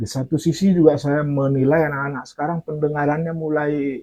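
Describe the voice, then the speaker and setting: Talking fairly quickly, a man uses a fairly high voice. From Aceh. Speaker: storyteller. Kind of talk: interview. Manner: halting.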